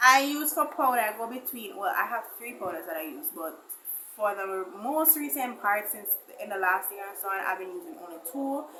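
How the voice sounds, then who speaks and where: A woman with a fairly high pitch swings very widely in pitch and loudness. Room echo is audible. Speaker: beauty vlogger. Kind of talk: makeup tutorial. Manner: fast.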